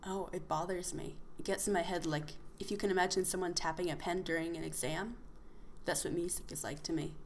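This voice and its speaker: Against audible room echo, a woman with an American accent talks fairly quickly at a fairly low pitch with fairly even intonation. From United States. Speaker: podcast co-host. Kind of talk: casual chat.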